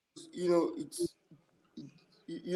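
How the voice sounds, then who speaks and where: A man with an East African accent. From Tanzania. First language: Swahili. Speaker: musician. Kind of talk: podcast interview. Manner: halting.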